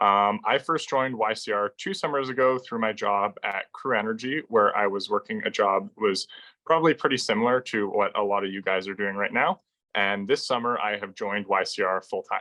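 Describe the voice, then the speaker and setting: Fairly low in pitch, a man with a Canadian accent talks fairly quickly in an unremarkable speaking voice with ordinary pitch variation. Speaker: recent graduate. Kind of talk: presentation. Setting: video call.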